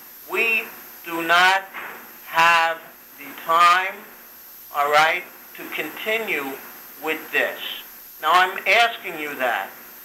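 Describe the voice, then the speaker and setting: A man's high-pitched voice at a very slow pace, with long, frequent pauses, big swings in loudness, audible room echo and noticeable background noise. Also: ordinary pitch variation. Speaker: former county prosecutor, now a judge. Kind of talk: phone argument. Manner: formal.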